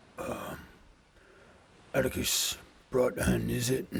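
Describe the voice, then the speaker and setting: At a fairly slow pace, a man puts on a raspy character voice at medium pitch. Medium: actual play. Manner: hesitant, polite, full of pauses.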